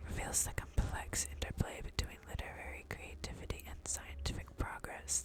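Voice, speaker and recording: Under noticeable background noise, a voice whispers at a moderate speed. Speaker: ASMR creator. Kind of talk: reading aloud. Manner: whispering; halting.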